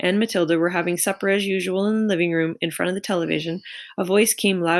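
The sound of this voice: Someone reads aloud in an unforced voice.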